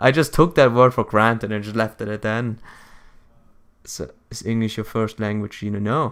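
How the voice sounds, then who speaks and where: A man with a German accent speaks at a moderate pace in a medium pitch, with fairly even intonation, long, frequent pauses and big swings in loudness. The recording is very clean, with a silent background. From Germany. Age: 20s. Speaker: gaming streamer. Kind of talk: casual chat. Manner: halting.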